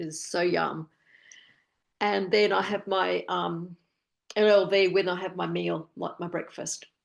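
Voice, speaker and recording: Fairly slow speech in an Australian accent, with long, frequent pauses over a quiet background. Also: woman. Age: 60s. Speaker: wellness program participant. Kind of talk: casual chat. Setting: video call. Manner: halting.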